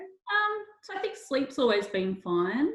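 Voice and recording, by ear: A woman speaks slowly at a high pitch, with big pitch swings. Her tone is fairly bright.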